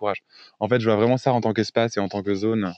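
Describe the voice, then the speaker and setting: A man is speaking here. His pitch is fairly low and his intonation fairly even. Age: 20s. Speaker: sex worker and online activist. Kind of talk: casual interview. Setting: podcast interview. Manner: hesitant, repeats words.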